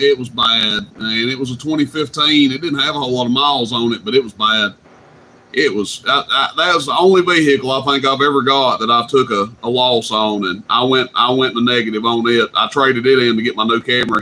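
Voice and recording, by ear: At a fairly quick pace, a man talks at medium pitch with ordinary pitch variation and a bright, sharp tone.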